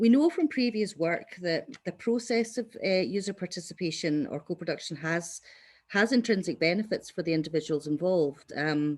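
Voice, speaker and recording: On a very clean recording with a silent background, a woman with a fairly low-pitched voice speaks with lively intonation. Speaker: evaluation researcher. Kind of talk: conference workshop presentation. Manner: fast.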